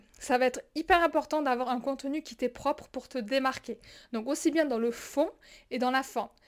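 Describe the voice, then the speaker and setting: A woman with a southern French accent speaks at a moderate pace in a high voice with fairly even intonation, on a very clean recording with a silent background. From southern France. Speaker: business coach podcaster. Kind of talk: solo podcast monologue.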